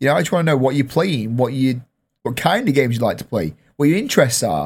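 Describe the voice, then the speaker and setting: A man is speaking. He talks at a very fast pace with lively intonation. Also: very clean recording, silent background. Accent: English. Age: 30s. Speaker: podcast host and streamer. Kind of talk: casual chat. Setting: studio.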